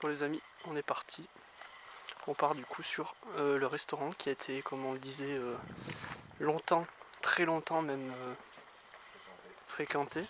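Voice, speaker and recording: Long pauses come often as the monotone, flat delivery proceeds at a fairly slow pace. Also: man, fairly high pitch for a man. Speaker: urban explorer vlogger. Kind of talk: walkthrough vlog narration.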